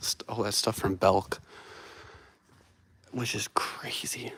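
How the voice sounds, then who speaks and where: A man speaks quietly. His tone is enthusiastic. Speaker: vlogger exploring dead malls. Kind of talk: live stream walkthrough. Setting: indoors in a quiet empty mall. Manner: casual, enthusiastic; quiet, keeping voice down.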